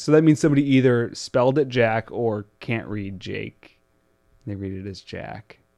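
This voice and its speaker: Against a quiet background, a man with a plain, everyday voice speaks at a medium pitch and moderate pace with ordinary pitch variation, the sound dry and close with no echo. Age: 20s. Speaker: podcast co-host. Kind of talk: casual chat.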